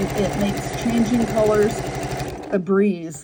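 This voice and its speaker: Noticeable background noise is heard behind a woman. She speaks at a fairly slow pace. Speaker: sewing tutor. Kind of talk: sewing tutorial talk.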